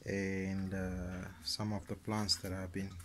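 Loud background noise fills the recording. Over it, a man talks at a fairly slow pace. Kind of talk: casual garden tour narration. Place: garden. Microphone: phone near.

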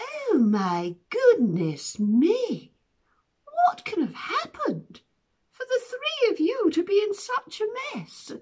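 A put-on character voice, extremely high in pitch, at a very slow pace. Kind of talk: children's story telling with character voices. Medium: read story. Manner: pompous, theatrical. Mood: concerned.

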